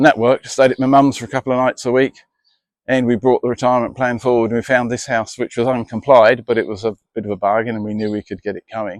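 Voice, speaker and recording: At a very fast pace, a man talks in a monotone, flat intonation at medium pitch, the sound dry and close with no echo against a quiet background. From England. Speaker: homeowner and gardener. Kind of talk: casual interview.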